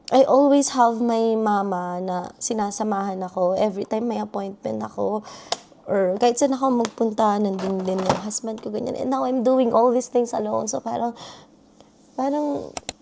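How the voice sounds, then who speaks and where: A woman's fairly high voice at a moderate pace with ordinary pitch variation, amid noticeable background noise. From Philippines. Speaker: vlogger, international student. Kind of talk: personal vlog.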